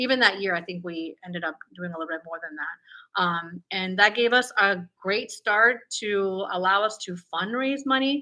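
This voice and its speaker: A normal speaking voice from a woman, medium-pitched, at a moderate pace with ordinary pitch variation. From Peru, raised in Florida from age eight. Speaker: toy business entrepreneur. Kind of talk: interview.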